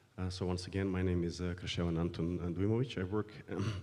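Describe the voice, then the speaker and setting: A man with a very deep, low pitch and a dark, mellow tone talks at a fairly quick pace with fairly even intonation, and audible room echo surrounds him. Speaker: foreign policy researcher. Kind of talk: panel introduction. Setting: conference panel. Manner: hesitant, many fillers.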